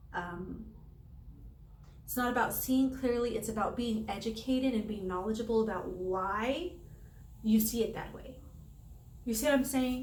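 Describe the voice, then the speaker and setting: Pitched fairly high, a woman speaks at a moderate pace with ordinary pitch variation, long, frequent pauses and big swings in loudness, while audible room echo surrounds her voice. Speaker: tarot reader. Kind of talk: tarot reading to camera. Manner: halting, many fillers.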